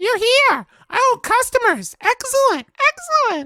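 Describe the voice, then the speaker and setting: Squeaky and excited, a put-on character voice comes at a fairly slow pace in a dry, close recording with no echo. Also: woman, extremely high pitch for a woman. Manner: excited, welcoming.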